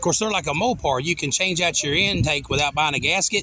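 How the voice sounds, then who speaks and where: A man with a Southern US accent talks at a fairly quick pace in a high-pitched voice. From Arkansas. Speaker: car show judge. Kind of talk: casual chat.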